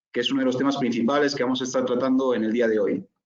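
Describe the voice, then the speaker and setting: This man speaks with a Spanish accent. His pitch varies in an ordinary way. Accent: Spanish (Spain). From Spain. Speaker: corporate finance consultant, presenter. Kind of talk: webinar presentation. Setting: online webinar.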